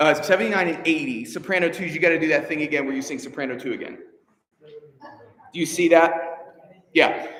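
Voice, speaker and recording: A man speaks in an animated tone at a fairly quick pace, with a fairly high pitch and ordinary pitch variation. Long, frequent pauses break up his speech, and room echo is audible. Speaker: choir director. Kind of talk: rehearsal instruction. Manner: fast.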